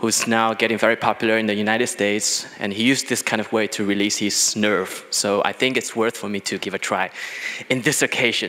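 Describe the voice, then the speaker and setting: A man speaks at medium pitch and a moderate pace. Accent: Chinese. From China. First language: Chinese. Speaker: business executive. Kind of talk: conference talk. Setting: stage with audience. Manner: halting, many fillers.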